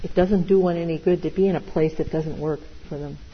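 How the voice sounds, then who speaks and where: Through noticeable background noise, a woman with fairly low pitch talks at a fairly quick pace with fairly even intonation. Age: 60s. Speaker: meditation teacher. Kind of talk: dharma talk.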